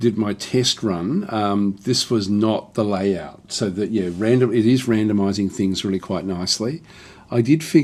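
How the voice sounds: Ordinary pitch variation shapes a natural reading voice here.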